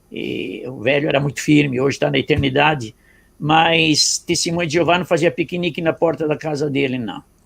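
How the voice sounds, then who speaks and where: Vocal fry runs through a man's fairly high-pitched voice as he talks at a moderate pace with ordinary pitch variation. The recording is very clean, with a silent background. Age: 70s. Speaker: pastor. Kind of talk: testimony.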